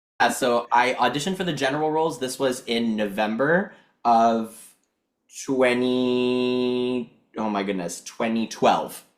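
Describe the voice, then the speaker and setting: This man talks at a fairly slow pace in a medium pitch. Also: ordinary pitch variation. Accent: Montreal. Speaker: actor. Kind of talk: podcast interview. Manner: animated.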